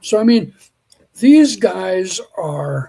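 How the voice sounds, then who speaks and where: A man's voice, dark and mellow in tone. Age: 60s. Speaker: biologist and Bigfoot field researcher. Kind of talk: podcast interview.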